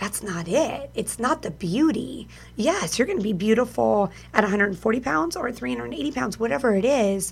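A medium-pitched woman's voice with vocal fry, very wide pitch swings and a fairly slow pace. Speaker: radio host. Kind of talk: casual chat. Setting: video call.

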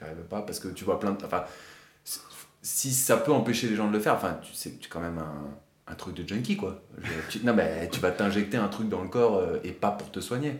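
With big swings in loudness and audible room echo, a man speaks at a moderate pace and a fairly low pitch, with ordinary pitch variation. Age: 30s. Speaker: amateur bodybuilder sharing doping experience. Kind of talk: testimony.

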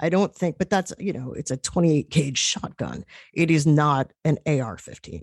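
Very deep, low woman's voice with vocal fry and an American accent, in a dry, close sound with no echo. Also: ordinary pitch variation, moderate pace. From New York. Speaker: journalist. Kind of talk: radio interview.

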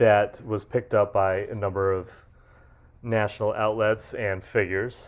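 A man with an American accent at a fairly slow pace, on a very clean recording with a silent background. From western Massachusetts. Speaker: journalist. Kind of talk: casual chat.

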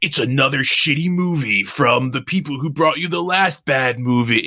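A man puts on a character voice, fairly high in pitch, at a moderate pace. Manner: dramatic.

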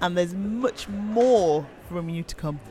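There is noticeable background noise behind this man. He speaks at a high pitch with ordinary pitch variation. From Birmingham, England. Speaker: podcast host. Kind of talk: interview. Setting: bar.

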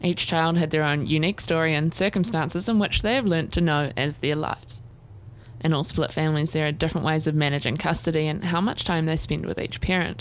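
A woman's very deep, low voice with a New Zealand accent, fairly quick in pace, with ordinary pitch variation and very even loudness. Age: 20s. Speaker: podcast host and student producer. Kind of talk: scripted narration.

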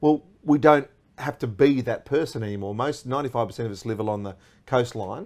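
On a very clean recording with a silent background, a man with an Australian accent speaks at a fairly quick pace, with medium pitch, ordinary pitch variation and big swings in loudness. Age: 40s. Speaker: radio host. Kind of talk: casual chat. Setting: studio.

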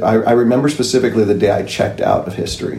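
Audible room echo around a man speaking in an American accent. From Southern California. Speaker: historian and George Washington reenactor. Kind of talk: interview.

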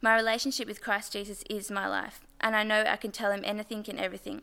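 In a very clean recording with a silent background, a woman talks at a very fast pace in a nervous, bright, sharp tone with a fairly high pitch. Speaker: church member giving baptism testimony. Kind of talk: testimony. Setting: church.

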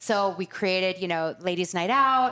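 A woman speaks at a moderate pace and medium pitch. The recording is very clean, with a silent background. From Laguna Beach, Southern California. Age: 40s. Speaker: beauty shop founder. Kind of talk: casual interview.

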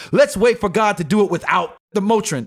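This man has a high pitch, an animated tone and lively intonation, talking at a moderate pace. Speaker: rapper and podcast host. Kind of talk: casual chat. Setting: studio.

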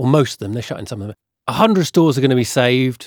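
Lively intonation runs through a plain, everyday voice. The sound is dry and close with no echo, on a very clean recording with a silent background. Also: man. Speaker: podcast host. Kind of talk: casual banter and news discussion.

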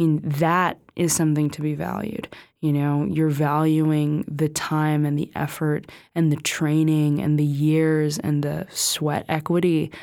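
Very deep and low in pitch, a woman with an American accent speaks at a fairly slow pace in a dark, mellow tone on a very clean recording with a silent background. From US, California. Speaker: film director. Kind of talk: casual interview.

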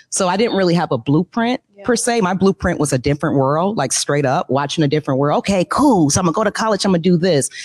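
A woman's fairly low voice at a very fast pace with hardly any pauses, lively intonation and very even loudness, in a dry, close sound with no echo. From US Midwest. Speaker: nonprofit founder. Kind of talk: interview. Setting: stage with audience.

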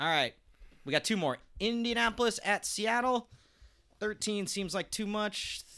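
A man projects a raised voice at a high pitch, his tone bright and sharp with ordinary pitch variation. He goes at a fairly slow pace on a very clean recording with a silent background. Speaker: podcast host. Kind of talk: casual chat. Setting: studio.

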